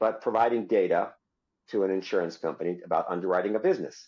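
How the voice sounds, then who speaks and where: A man at a very fast pace over a quiet background. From Israel. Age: 60s. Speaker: insurtech company founder. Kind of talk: interview.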